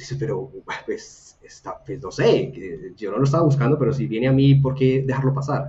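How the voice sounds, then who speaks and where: Moderately paced, somewhat breathy male speech, medium in pitch for a man and normally varied in pitch. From Colombia, Buga (Valle del Cauca). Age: 30s. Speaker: design academy co-founder and product manager. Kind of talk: casual interview chat.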